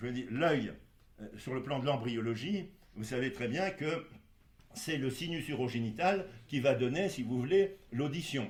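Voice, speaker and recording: Somewhat breathy and medium-pitched, a man speaks at a fairly slow pace with lively intonation and long, frequent pauses. Audible room echo surrounds him. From Poland (Galicia). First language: Polish (speaking French). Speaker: doctor. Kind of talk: interview. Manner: halting, many fillers.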